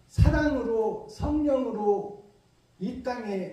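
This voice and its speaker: A man speaks at an extremely high pitch with a dark, mellow tone. Room echo is audible. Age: 60s. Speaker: pastor. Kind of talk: sermon.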